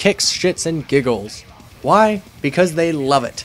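Music plays behind a man speaking. His tone is energetic, with lively intonation. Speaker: music reviewer. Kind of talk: comedic review narration. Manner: energetic, irreverent. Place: home room. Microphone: webcam.

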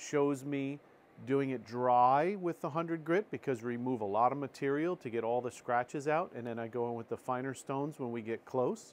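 Over light background noise, a man talks at a moderate pace, his pitch varying in an ordinary way. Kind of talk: tutorial. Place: workshop. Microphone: lapel.

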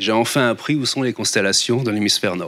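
A man's voice at medium pitch, with ordinary pitch variation and a fairly quick pace. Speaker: astronomer. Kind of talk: lecture. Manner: halting, many fillers and repeats. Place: hall. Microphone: handheld.

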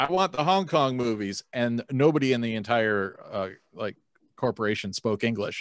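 A man speaks at a moderate pace with lively intonation. The sound is dry with no echo, and the background is quiet. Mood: amused, nostalgic. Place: home room. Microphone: video call.

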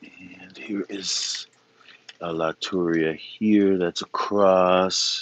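Very deep and low, a man's voice moves at a very slow pace in a monotone, flat intonation, with a dry sound and no echo. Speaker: orchid grower and video creator; video creator. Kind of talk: casual live-stream walkthrough. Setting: outdoors in the rain. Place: garden. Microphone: phone near.

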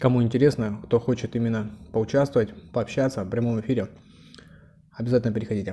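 A man's dark, mellow tone at a fairly quick pace, with fairly even intonation and light background noise. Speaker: eating vlogger. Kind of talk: casual vlog chat while eating. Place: home room. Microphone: lapel.

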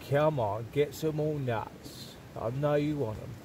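Noticeable background noise fills a dry recording that carries no echo. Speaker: wildlife vlogger. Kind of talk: casual talk to a bird. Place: open country. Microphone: phone near.

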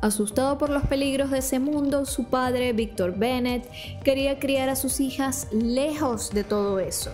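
Clear music plays behind a high-pitched woman who speaks at a moderate pace with ordinary pitch variation. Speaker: TV series recap host. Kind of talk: narrated commentary. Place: home room. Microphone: studio mic.

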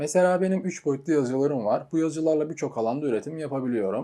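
In a very clean recording with a silent background, a man speaks with a dark, mellow tone. His pitch varies in an ordinary way. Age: 20s. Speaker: entrepreneur and YouTuber. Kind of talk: scripted monologue.

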